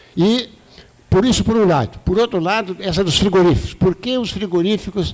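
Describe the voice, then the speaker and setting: Ordinary pitch variation and a moderate pace in a man's high voice. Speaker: retired professor, debate panelist. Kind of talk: panel debate talk. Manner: halting, many restarts.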